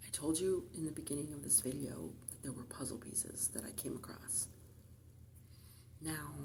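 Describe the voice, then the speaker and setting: A woman whispers at a moderate pace, with long, frequent pauses. Her loudness swings widely, and room echo is audible. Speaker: tarot reader. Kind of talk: tarot reading. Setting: library. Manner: soft-spoken.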